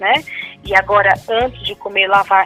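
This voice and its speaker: Music plays in the background while a woman speaks. Her pitch is medium and her pace moderate. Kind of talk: interview answer.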